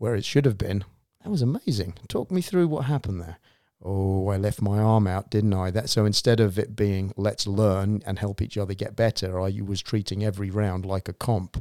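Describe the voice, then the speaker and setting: A man with a southern English accent speaks at a moderate pace in a fairly low pitch with fairly even intonation and a dark, mellow tone, on a very clean recording with a silent background and a dry, close sound with no echo. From southern England, Reading. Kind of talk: casual chat.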